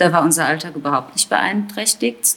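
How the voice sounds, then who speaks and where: The speech shows ordinary pitch variation beneath noticeable background noise. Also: woman. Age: 40s. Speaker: teacher and mother. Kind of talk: casual interview.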